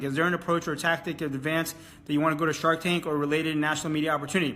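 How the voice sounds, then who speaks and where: Talking at a very fast pace, a man with an American accent has a high pitch and a bright, sharp tone. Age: 30s. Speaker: entrepreneur. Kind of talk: audience Q&A.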